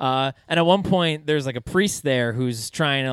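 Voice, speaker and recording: A man with an unremarkable speaking voice and a medium pitch is heard on a very clean recording with a silent background. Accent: American. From New York City, Staten Island. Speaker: comedian. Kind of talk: casual chat.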